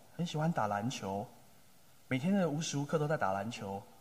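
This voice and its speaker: Somewhat breathy and fairly high-pitched, a man speaks at a moderate pace with lively intonation and audible room echo. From Taiwan, Taipei area (Tamsui). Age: 30s. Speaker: pastor. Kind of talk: sermon.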